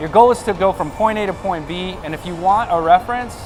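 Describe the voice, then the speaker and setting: Music plays behind a man whose high voice moves with lively intonation at a fairly quick pace. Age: 30s. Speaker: fitness vlogger and bodybuilding competitor. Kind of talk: workout tutorial.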